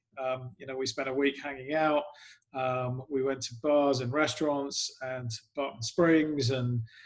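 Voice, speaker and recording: Using monotone, flat intonation, a man with an English accent speaks at a fairly slow pace in a medium pitch. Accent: English accent noticeable. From England. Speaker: sports club PR executive. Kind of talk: podcast interview. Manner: hesitant, many fillers.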